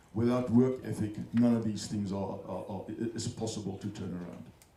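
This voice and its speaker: Moderately paced speech from a man at medium pitch, wrapped in audible room echo. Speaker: economist and business school research fellow. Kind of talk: speech at a business breakfast. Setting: event room with audience. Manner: hesitant, many fillers.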